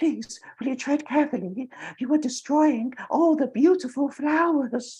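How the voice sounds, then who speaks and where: This is a put-on character voice, high in pitch and quiet. It moves at a moderate pace. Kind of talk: polite. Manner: quiet, polite pleading.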